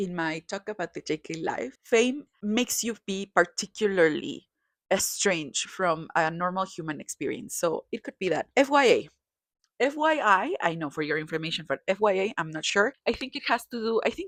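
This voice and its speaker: Her pitch sits at a medium level for a woman but swings very widely. She speaks with a Spanish accent. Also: moderate pace. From Mexico. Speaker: kpop commentator. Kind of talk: casual commentary. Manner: halting, self-correcting.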